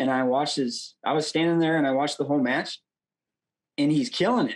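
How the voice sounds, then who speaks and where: A man with an unremarkable speaking voice talks fairly quickly, his pitch fairly high with ordinary variation. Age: 20s. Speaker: wrestler and coach. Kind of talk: interview.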